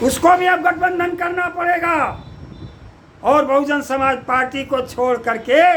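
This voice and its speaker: A raised, projected voice with a bright, sharp tone carries ordinary pitch variation. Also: man. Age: 70s. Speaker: politician, party president. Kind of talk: political commentary monologue.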